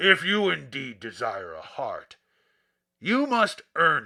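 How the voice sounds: In a gruff, put-on character voice, a man speaks at a high pitch and a fairly slow pace.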